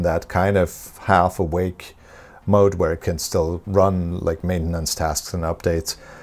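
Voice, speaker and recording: The intonation of this man's speech stays fairly even. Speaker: tech reviewer. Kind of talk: casual vlog chat. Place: home room. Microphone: lapel.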